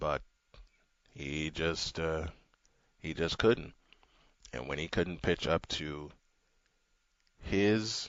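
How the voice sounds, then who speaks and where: A man with a very deep, low pitch, at a very slow pace with long, frequent pauses. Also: ordinary pitch variation. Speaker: sports radio host. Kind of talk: radio talk show. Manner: subdued.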